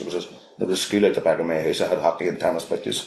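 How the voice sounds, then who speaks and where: A man speaks with a Belfast accent. His pace is very fast. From Northern Ireland, North Belfast. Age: 50s. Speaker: fly fishing guide and instructor. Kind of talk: casual chat. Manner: halting, many repetitions.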